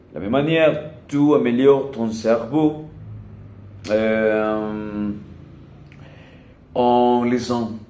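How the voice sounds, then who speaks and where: Audible room echo carries a man's dark, mellow tone as he speaks at a very slow pace with ordinary pitch variation. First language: not French (learner, one year) (speaking French). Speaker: language learner vlogger. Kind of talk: casual monologue vlog. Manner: halting, many hesitations.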